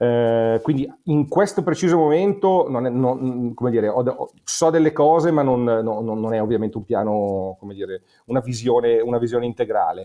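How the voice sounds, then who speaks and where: Lively intonation marks this man's speech. He keeps a moderate pace and a medium pitch. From Monza, Lombardy, northern Italy. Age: 40s. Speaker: music promoter and writer. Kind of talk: casual chat. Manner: halting, repeats words.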